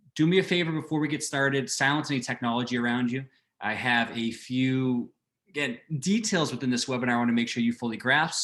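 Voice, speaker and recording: A man with an American accent, medium-pitched, with ordinary pitch variation and a fairly quick pace. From Boston. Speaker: fitness coach. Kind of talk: webinar presentation. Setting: online webinar. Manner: fast; animated.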